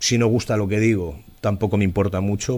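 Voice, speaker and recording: Moving at a fairly quick pace, a man with a Madrid accent speaks with ordinary pitch variation. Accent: central Spanish (Madrid). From Spain, Alcalá de Henares (Madrid); Spain. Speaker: local politician, former police officer; local politician. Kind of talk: interview. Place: studio. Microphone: studio mic.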